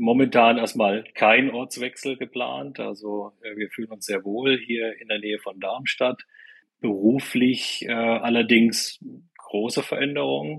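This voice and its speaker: A man speaks at a very slow pace. His pitch is medium, with ordinary pitch variation. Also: big swings in loudness. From eastern Germany, Weimar. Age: 50s. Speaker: business consultant and coach. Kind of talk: podcast interview. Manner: hesitant, many fillers and repeated words.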